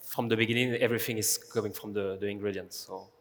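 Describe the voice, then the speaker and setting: A man in a French accent speaks at a fairly low pitch in a flat monotone. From France. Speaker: pastry chef. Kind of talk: panel discussion.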